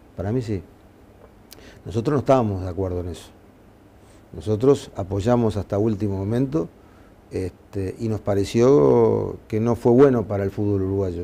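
A man's fairly low voice at a moderate pace, with ordinary pitch variation and long, frequent pauses. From Uruguay. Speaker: football club president; interviewee. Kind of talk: interview. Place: office. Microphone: lapel.

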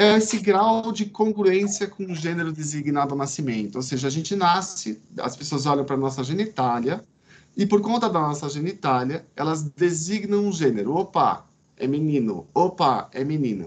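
A man with a plain, everyday voice, fairly high-pitched, at a moderate pace with lively intonation. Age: 40s. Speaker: psychiatrist lecturer. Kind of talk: online lecture. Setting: video call from home veranda. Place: home room. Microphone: video call.

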